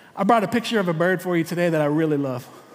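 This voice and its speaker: With a Texan accent, a man speaks at a fairly quick pace. His pitch is high and his intonation lively. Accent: Texan Southern US. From East Texas. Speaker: pastor. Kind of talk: sermon. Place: church. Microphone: headset.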